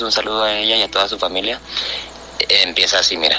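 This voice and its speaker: Amid noticeable background noise, a man at a medium pitch talks at a fairly quick pace. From northern Mexico, Chihuahua. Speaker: listener sending audio message. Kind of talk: voice message story.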